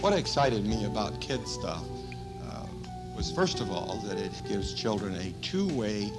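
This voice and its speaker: A man's fairly low-pitched voice at a fairly slow pace, with music in the background. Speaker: elementary school principal. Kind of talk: testimonial interview.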